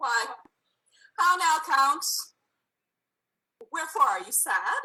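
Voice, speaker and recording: A woman's put-on character voice, squeaky and extremely high-pitched, with very wide pitch swings at a fairly slow pace. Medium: game stream. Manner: warm, gracious.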